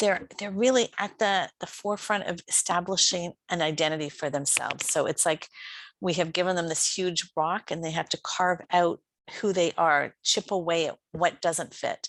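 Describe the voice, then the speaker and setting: A woman with a normal speaking voice, fairly low in pitch and fairly even in intonation, at a moderate pace, recorded with a dry, close sound with no echo against a quiet background. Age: 60s. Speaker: life coach. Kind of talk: conference talk. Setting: online conference.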